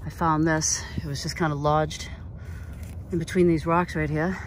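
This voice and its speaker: The speech runs at a moderate pace against noticeable background noise. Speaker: travel vlogger. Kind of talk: casual vlog narration while hiking. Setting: outdoors on a mountain trail.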